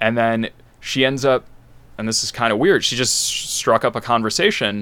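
The man's tone is bright and sharp. His intonation stays fairly even. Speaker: improv classmate. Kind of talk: casual interview. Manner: reserved, understated.

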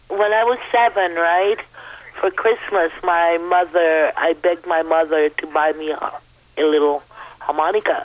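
Over noticeable background noise, a woman speaks fairly slowly in a fairly low pitch with ordinary pitch variation. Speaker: caller. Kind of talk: friendly call-in chat. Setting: phone call.

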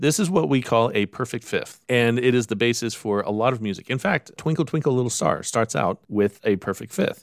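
In a very clean recording with a silent background, a man with a medium pitch and a normal speaking voice talks at a fairly quick pace. The sound is dry and close with no echo, and there are hardly any pauses. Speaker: podcast host. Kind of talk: educational podcast chat.

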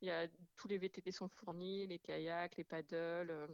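Very slowly and in a flat monotone, a woman speaks in a fairly low voice. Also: dry, close sound with no echo. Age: 30s. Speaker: amateur raid participant. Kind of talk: radio interview. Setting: phone call. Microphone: echo on phone line.

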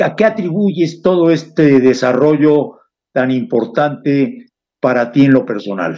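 Very slowly, a man with a fairly high pitch and a dark, mellow tone moves through very wide pitch swings. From Mexico, Puebla city. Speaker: radio host. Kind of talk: interview. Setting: studio.

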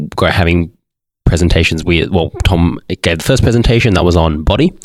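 A man with an Australian accent speaks at a moderate pace in a very deep, low voice with ordinary pitch variation. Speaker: teacher. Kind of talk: panel discussion.

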